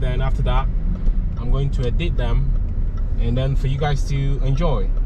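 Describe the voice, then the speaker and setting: The sound is dry with no echo, under loud background noise. A man talks at a moderate pace. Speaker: driver vlogger. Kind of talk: casual vlog chat. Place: car.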